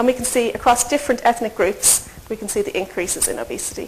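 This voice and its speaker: Noticeable background noise sits behind this woman. She speaks fairly quickly with lively intonation. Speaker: nutrition researcher. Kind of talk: lecture. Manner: fast.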